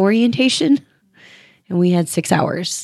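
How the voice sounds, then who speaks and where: In a dry, close sound without echo, a woman speaks at a fairly slow pace. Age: 40s. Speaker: nurse. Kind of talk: casual chat. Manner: hesitant with frequent ums.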